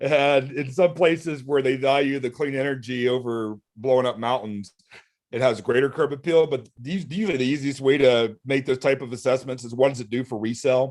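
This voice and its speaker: In an ordinary speaking voice, the speaker goes at a fairly quick pace with ordinary pitch variation. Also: man, medium pitch for a man. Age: 40s. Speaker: solar fundraising event host. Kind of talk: live video call discussion.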